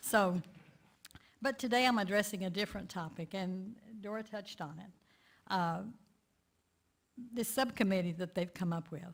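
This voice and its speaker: A somewhat breathy delivery with a Texan accent, moderate pace, ordinary pitch variation, big swings in loudness and long, frequent pauses. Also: woman, medium pitch for a woman. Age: 70s. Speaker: community activist. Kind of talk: lay sermon talk.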